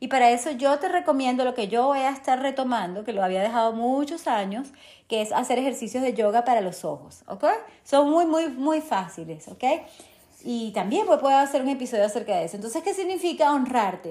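A woman speaks at a high pitch with a dark, mellow tone. Her intonation is lively and her pace fairly quick. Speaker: podcast host and holistic nutrition coach. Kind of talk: motivational monologue. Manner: halting.

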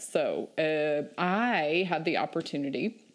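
A woman's very deep, low voice in a Southern US accent, with ordinary pitch variation, on a very clean recording with a silent background. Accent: Southern US (Georgia). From US South, southeast Georgia. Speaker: remote worker, meetup group leader. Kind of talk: casual interview.

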